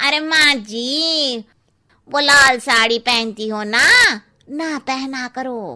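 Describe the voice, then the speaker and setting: A woman's high, cartoonish character voice, very slow in pace, with ordinary pitch variation. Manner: cheeky, gossipy.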